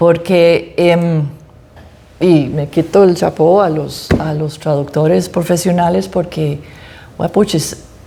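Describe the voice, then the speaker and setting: Speaking very slowly with an English accent, a woman uses a fairly low pitch and fairly even intonation over noticeable background noise. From United States. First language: English (speaking Spanish). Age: old. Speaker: author. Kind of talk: interview at book presentation. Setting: library event with audience.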